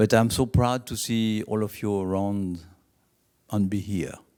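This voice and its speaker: In a very clean recording with a silent background, a man speaks at a fairly low pitch with a dark, mellow tone and fairly even intonation. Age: 70s. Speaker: racing safety company founder. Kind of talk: speech.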